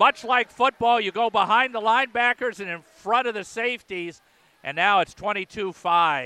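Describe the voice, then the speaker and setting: A man speaks at a high pitch in a raised, projected voice with an energetic tone and ordinary pitch variation. Music plays in the background of a dry, close recording with no echo. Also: moderate pace. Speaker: radio play-by-play announcer. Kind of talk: live play-by-play radio commentary of a volleyball match. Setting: radio broadcast from the gym. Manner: energetic, fluent broadcaster delivery.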